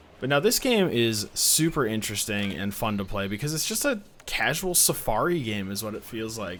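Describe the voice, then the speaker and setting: A man with a strong Midwestern accent talks at a moderate pace with hardly any pauses, his medium-pitched voice full of lively intonation. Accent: thick Midwestern US. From US Midwest. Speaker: indie game reviewer, YouTuber. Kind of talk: casual video commentary. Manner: casual, conversational with fillers.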